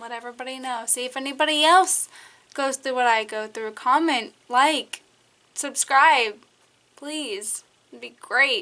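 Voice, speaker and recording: At a fairly slow pace, a woman speaks with a high pitch, ordinary pitch variation, and big swings in loudness. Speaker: vlogger. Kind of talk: storytime vlog. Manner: casual, filler-heavy.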